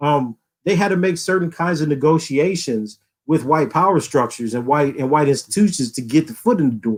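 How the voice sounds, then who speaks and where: On a very clean recording with a silent background, a man with an American accent speaks at a fairly quick pace in a fairly high voice, with an animated tone and lively intonation. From US South, Louisiana. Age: 40s. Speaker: philosophy professor. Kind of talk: podcast interview.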